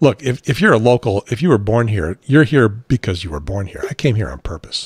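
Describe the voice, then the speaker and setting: In an American accent, a man speaks with lively intonation and vocal fry, recorded with a dry, close sound with no echo. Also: medium pitch for a man, fairly quick pace. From Chicago area. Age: 60s. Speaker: talk show host, former radio presenter. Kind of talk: casual chat.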